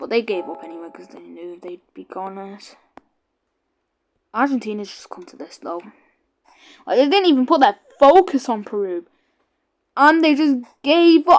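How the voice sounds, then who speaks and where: A woman with a British accent speaks at a high pitch and a moderate pace, with very wide pitch swings. Her loudness swings widely, and she leaves long, frequent pauses. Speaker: gaming YouTuber. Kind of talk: gameplay commentary. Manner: casual, rambling.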